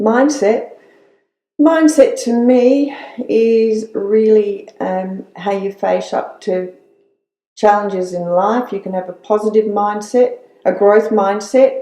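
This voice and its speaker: Speaking very slowly with an Australian accent, a woman has a dark, mellow tone at medium pitch and ordinary pitch variation. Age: 60s. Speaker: retired nurse. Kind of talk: interview. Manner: halting.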